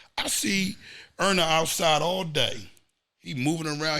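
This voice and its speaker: Through audible room echo, a man speaks in a fairly high pitch with a bright, sharp tone. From Philadelphia, US. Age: 40s. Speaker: former street figure. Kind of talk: podcast interview. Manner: animated.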